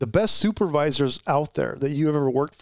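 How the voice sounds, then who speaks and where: In a very clean recording with a silent background and a dry, close sound with no echo, a man with an American accent talks at a fairly high pitch with ordinary pitch variation. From Arizona, East Valley. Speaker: retired police officer and life coach. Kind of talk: interview. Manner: halting.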